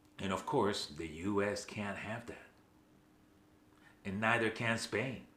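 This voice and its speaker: A man speaks very slowly at a fairly low pitch, with ordinary pitch variation. He leaves long, frequent pauses. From Venezuela, Caracas barrio. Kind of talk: casual talk to camera. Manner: passionate, conversational.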